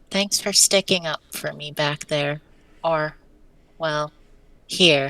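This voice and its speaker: A gruff, cartoonish character voice sits at a middle pitch. It moves at a very slow pace with long, frequent pauses. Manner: blunt, gruff.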